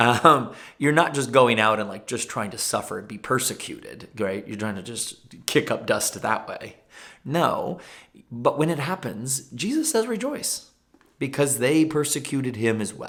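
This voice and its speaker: A man speaks in a plain, everyday voice at a medium pitch, with lively intonation. His pace is fairly slow, and his loudness swings widely. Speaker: pastor. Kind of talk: informal bible teaching video.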